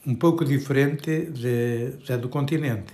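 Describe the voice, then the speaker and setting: This man talks with ordinary pitch variation. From Portugal, Trás-os-Montes (Bragança). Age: 70s. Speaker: retiree interviewee. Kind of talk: interview. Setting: home kitchen. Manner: halting.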